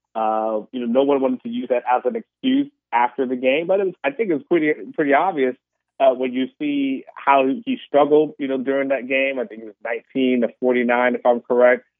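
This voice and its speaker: A man with a plain, everyday voice speaks at a moderate pace, with medium pitch and ordinary pitch variation. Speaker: sports analyst. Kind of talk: sports interview.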